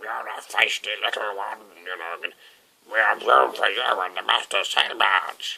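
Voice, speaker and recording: At a moderate pace, the speaker delivers lines in a put-on character voice. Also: man, fairly low pitch for a man. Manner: feisty.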